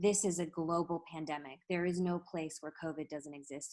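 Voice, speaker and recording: Soft-spoken and fairly low in pitch, a woman talks at a moderate pace with fairly even intonation. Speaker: national radio correspondent. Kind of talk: panel discussion over video call. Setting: video call.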